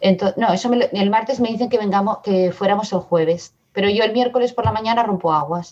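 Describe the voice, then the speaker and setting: A woman talks fairly quickly with hardly any pauses and very even loudness, at a medium pitch with ordinary pitch variation. It is an ordinary speaking voice. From Barcelona area, Spain (born in Madrid). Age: 50s. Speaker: mother sharing birth story. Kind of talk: testimony.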